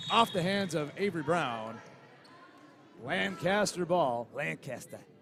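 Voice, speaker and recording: A high-pitched man at a fairly slow pace with lively intonation, amid noticeable background noise. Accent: American. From New York. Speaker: sports commentator. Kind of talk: live commentary; casual chat.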